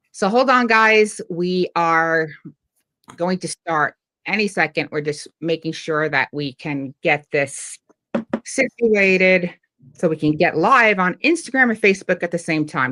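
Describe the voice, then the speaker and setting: In a dry, close recording with no echo, a woman with a New York accent talks at a fairly slow pace in a fairly low, bright, sharp voice with lively intonation. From New York, Long Island. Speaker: livestream host. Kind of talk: casual chat. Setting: online livestream.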